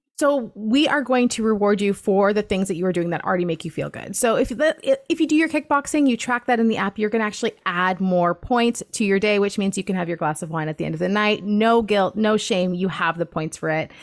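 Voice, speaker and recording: A woman's ordinary speaking voice at medium pitch, fairly quick and lively, with hardly any pauses. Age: 30s. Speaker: weight-loss coach. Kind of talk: casual chat.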